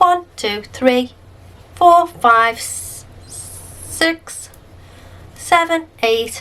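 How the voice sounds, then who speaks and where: Very slowly and with long, frequent pauses, a woman with a British accent speaks in a high pitch with lively intonation. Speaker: crochet tutorial creator. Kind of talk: tutorial.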